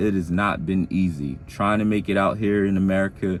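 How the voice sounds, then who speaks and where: A man speaks at a fairly quick pace. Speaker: vlogger, aspiring truck driver. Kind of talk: casual vlog monologue. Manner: fast.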